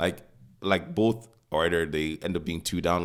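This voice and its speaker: In a very clean recording with a silent background, a man with a very deep, low pitch talks at a fairly quick pace with ordinary pitch variation. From Nigeria. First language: not English. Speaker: podcast co-host. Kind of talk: casual chat. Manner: halting, many fillers.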